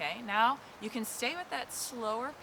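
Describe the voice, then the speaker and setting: A woman speaks in an upbeat tone. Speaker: qigong instructor. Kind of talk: guided movement class instruction. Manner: encouraging, upbeat.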